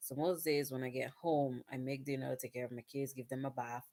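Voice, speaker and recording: Quiet and fairly even in intonation, a woman talks with a very deep, low pitch. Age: 30s. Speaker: vlogger and nursing student. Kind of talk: casual vlog monologue. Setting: at home at night. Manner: quiet, hushed.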